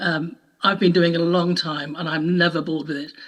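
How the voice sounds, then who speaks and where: A woman with a British accent talks at a fairly quick pace in a fairly low pitch. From UK. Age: 70s. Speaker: audio describer and trainer. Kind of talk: panel talk.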